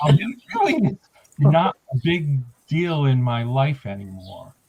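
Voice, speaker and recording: Somewhat breathy, a man speaks at a fairly high pitch that swings very widely. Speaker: former classmate. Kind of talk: casual chat. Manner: halting.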